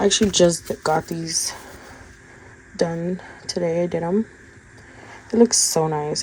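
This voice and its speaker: Through noticeable background noise, a woman talks at a fairly slow pace and fairly low pitch with ordinary pitch variation. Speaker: budgeting content creator. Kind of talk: casual tutorial.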